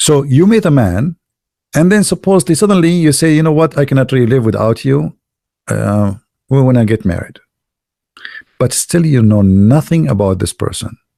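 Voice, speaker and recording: Speaking at a moderate pace with long, frequent pauses, a man with a non-native accent has a dark, mellow tone at a medium pitch, very wide pitch swings and very even loudness, in a dry, close sound with no echo. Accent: non-native English, limited. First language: Arabic. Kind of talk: monologue talk to viewers. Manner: halting, frequent restarts; animated.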